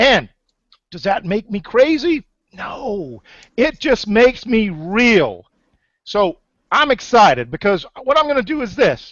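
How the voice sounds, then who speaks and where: Shouting in an animated, energetic tone, a man uses a high pitch and lively intonation, moving at a fairly slow pace with big swings in loudness and long, frequent pauses. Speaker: webinar host, online marketer. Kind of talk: sales pitch webinar. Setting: online webinar. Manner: loud, yelling.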